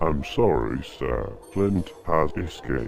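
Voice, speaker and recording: A man speaks at a fairly slow pace in a put-on character voice with very deep, low pitch. His intonation is lively, and background noise is clearly audible. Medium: machinima. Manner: blunt, deferential.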